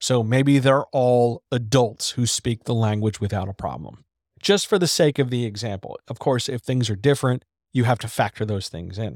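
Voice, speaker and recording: In a very clean recording with a silent background and a dry, close sound with no echo, a man speaks at a moderate pace and medium pitch, his tone animated and his pitch variation ordinary. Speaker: writing coach and editor. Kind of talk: live-stream Q&A about writing. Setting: live video stream. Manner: animated, casual, self-deprecating.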